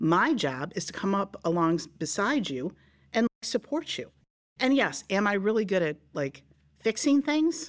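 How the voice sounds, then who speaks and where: Speaking at a moderate pace, a woman uses a medium pitch with very wide pitch swings. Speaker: former teacher, colleague of host's mom. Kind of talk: casual interview chat. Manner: loud, animated.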